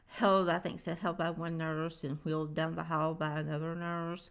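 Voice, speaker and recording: There's a Southern US accent in this woman's fairly low-pitched voice. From Alabama, US South. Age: 60s. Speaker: music reaction youtuber. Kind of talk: casual vlog commentary. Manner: hesitant, many fillers.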